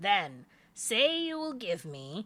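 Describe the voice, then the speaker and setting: Using a put-on character voice, a woman swings her pitch very widely. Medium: read story. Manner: sly, bargaining.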